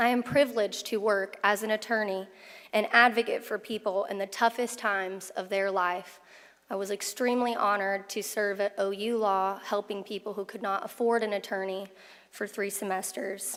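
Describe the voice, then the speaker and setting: An unremarkable speaking voice from a woman with an American accent, medium pitch, fairly even intonation and a moderate pace, on a very clean recording with a silent background. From Oklahoma, US. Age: 20s. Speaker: attorney, commencement speaker. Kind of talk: commencement speech. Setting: graduation ceremony with audience.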